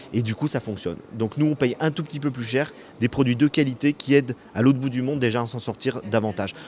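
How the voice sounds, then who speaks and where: Here is a man with an unremarkable speaking voice, talking at a fairly quick pace at medium pitch with ordinary pitch variation. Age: 50s. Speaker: author. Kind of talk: interview. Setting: hotel bar.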